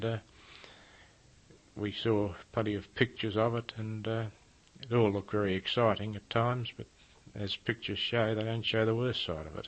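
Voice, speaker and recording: In an Australian accent, someone speaks at a moderate pace with fairly even intonation. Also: man. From Australia, Melbourne, Victoria. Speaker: war veteran. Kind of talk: oral history interview. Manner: halting.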